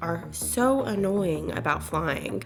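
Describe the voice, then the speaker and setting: A woman talks very slowly. Behind her, music can be heard. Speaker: travel content creator. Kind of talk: casual talk to camera.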